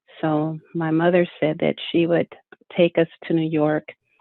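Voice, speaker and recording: A woman speaks at a fairly slow pace in a very deep, low voice with monotone, flat intonation. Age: 70s. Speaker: award honoree interviewee. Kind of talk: interview. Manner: halting.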